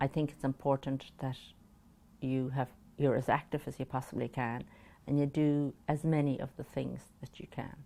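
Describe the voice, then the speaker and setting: A dark, mellow voice with an Irish accent, monotone and flat in intonation, at a moderate pace, on a very clean recording with a silent background. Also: woman, very deep, low pitch for a woman. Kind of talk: interview answer.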